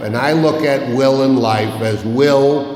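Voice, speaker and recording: A man speaks very slowly at a medium pitch, with ordinary pitch variation. Noticeable background noise and audible room echo fill the recording. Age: 70s. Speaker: recovery meeting speaker. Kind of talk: recovery talk. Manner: animated.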